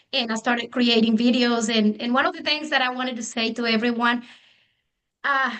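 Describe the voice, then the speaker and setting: With a Spanish accent, a woman speaks quickly-ish at a fairly quick pace, her high pitch bright and sharp in tone with fairly even intonation. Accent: non-native English, Spanish. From Mexico. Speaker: real estate agent. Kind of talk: panel discussion.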